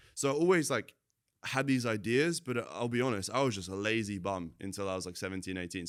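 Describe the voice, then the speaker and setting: A man with a British accent talks very fast at a fairly low pitch, with lively intonation and big swings in loudness, on a very clean recording with a silent background. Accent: sounds kind of British. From Latvia, moved to UK at 10. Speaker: entrepreneur, marketing agency owner. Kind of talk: casual interview chat. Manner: casual, filler-heavy.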